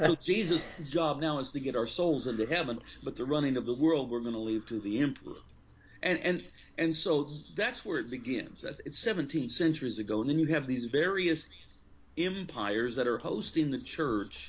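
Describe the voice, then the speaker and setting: A man with a plain, everyday voice, fairly high in pitch with lively intonation, at a moderate pace. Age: 50s. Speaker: pastor and author. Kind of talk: interview.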